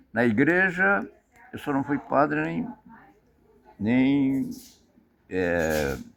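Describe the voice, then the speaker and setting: A man speaks at a medium pitch with very wide pitch swings. He leaves long, frequent pauses. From Paraná, southern Brazil. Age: 80s+. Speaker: retired tailor and merchant. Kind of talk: interview, life story. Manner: halting, repeats words.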